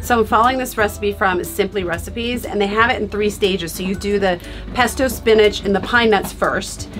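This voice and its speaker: Over clear background music, a woman talks at a fairly quick pace with fairly even intonation. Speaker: vlogger cooking. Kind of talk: casual vlog chat. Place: kitchen. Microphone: phone near.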